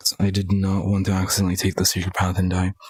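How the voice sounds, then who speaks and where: A man's fairly low voice at a fairly quick pace, with a dry, close sound and no echo. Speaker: gaming streamer. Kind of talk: gameplay commentary. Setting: live stream. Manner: monotone.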